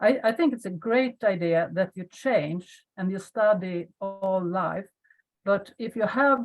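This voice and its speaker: A woman talks at a very slow pace. Her pitch sits in the medium range. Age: 60s. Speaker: webinar participant. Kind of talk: casual discussion. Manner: halting.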